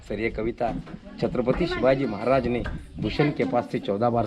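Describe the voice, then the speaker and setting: There is noticeable background noise behind this man's voice. He talks at a moderate pace and a medium pitch. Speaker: tour guide. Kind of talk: guided tour explanation. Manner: passionate.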